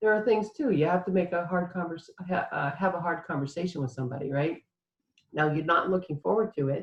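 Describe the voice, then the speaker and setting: A woman speaks with ordinary pitch variation. It is an ordinary speaking voice. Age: 60s. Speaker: author and inspirational speaker. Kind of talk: interview. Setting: live online summit.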